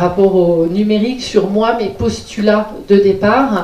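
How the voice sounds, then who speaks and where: Noticeable background noise sits behind this recording. A woman speaks at a fairly high pitch. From Lyon, France. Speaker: digital inclusion trainer and project consultant. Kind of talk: conference talk. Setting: conference hall with audience.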